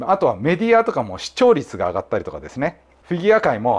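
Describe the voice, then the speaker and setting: This is a man speaking. His pace is very fast. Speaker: judo therapist and clinic head. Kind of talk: explanatory commentary video.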